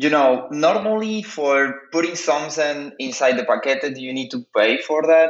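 Speaking fairly slowly with a Spanish accent, a man shows ordinary pitch variation. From Cuba. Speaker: artist and researcher. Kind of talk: interview. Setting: phone call. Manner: halting. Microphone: phone connection over VPN.

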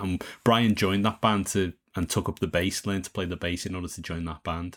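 A man with a Liverpool accent and a very deep, low pitch at a moderate pace, on a very clean recording with a silent background. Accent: Liverpool (Scouse). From Liverpool, England. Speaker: songwriter and podcast host. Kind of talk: casual interview chat.

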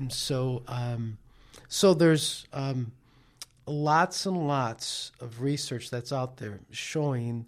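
A fairly high-pitched man's voice with an American accent at a very slow pace, on a very clean recording with a silent background. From New York City. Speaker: life coach. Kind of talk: casual chat. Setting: studio.

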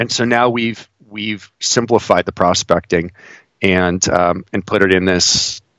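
In an American accent, a man with a very deep, low pitch speaks at a fairly slow pace with fairly even intonation. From northeast Ohio, near Cleveland. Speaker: investor and financial blogger. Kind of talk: casual interview.

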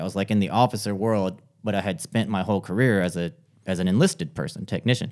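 On a very clean recording with a silent background, a man talks very fast with lively intonation. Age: 40s. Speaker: lawyer and marketing consultant. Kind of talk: podcast interview.

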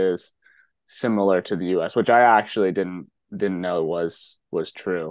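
This man has an unremarkable speaking voice, talking at a fairly slow pace with fairly even intonation. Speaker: podcast host. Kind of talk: interview conversation.

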